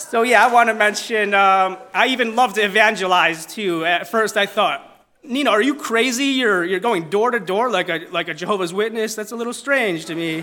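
A man speaks in a raised, projected voice with hardly any pauses. His pitch is high for a man. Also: ordinary pitch variation, moderate pace. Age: 30s. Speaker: church member giving testimony. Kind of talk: testimony. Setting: church with congregation. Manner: humorous, warm.

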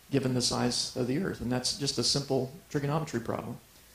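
Audible room echo surrounds a man talking very fast in an American accent. His voice is fairly high, with fairly even intonation. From US Midwest (Ohio). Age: 40s. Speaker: creationist speaker. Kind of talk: lecture.

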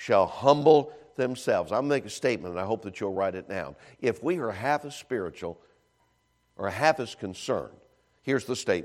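Speaking at a fairly quick pace, a man uses medium pitch and lively intonation. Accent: American. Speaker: visiting evangelist preacher. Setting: church. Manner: animated, rapid conversational preaching with quick self-deprecating humor; emphatic, with repeated words and frequent 'uh' fillers.

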